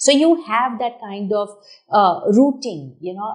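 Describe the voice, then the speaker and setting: A woman's intonation is lively as she talks at a moderate pace. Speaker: talk show host. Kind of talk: interview. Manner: loud; animated.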